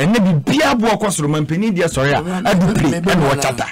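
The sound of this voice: A man talks fairly quickly at a high pitch with lively intonation. Faint noise sits in the background.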